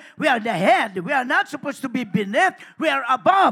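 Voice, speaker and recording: An animated man's raised, projected voice, bright and sharp, with very wide pitch swings and a dry, close sound with no echo. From Philippines. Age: 70s. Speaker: pastor. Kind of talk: sermon. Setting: church.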